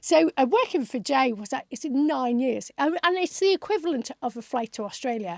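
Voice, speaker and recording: A woman with a British accent, high-pitched with very wide pitch swings, hardly any pauses, and a dry, close sound with no echo. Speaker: TV executive producer, former commissioning editor. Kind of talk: casual chat. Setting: studio. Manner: fast.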